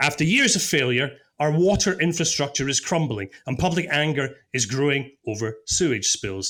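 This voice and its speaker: With lively intonation, a man speaks in a very clean recording against a silent background. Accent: Scottish. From Scotland. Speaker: podcast producer and stand-in presenter. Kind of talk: podcast interview with scripted intro.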